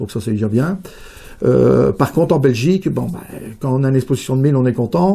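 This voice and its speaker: A dark, mellow tone marks this man's medium-pitched voice. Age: 60s. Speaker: rabbit breeder and show judge. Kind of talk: interview. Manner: hesitant, many fillers.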